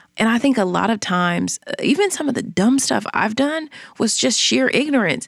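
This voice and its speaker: Vocal fry runs through a woman's fairly high-pitched voice. She keeps a moderate pace and very even loudness. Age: 30s. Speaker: podcaster and entrepreneur. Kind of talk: interview.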